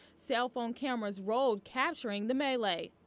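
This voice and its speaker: A woman with an ordinary speaking voice uses a fairly high pitch, a moderate pace and ordinary pitch variation. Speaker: TV news reporter. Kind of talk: TV news report.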